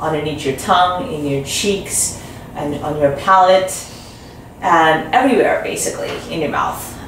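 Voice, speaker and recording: A woman speaks at a fairly low pitch, with audible room echo and light background noise. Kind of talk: interview answer. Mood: calm, explanatory. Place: office.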